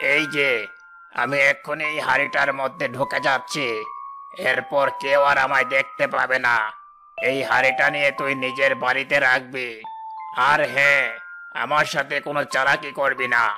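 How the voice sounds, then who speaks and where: Putting on a cartoonish character voice, a man speaks fairly slowly at a medium pitch, with clear background noise behind him. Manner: cackling, taunting.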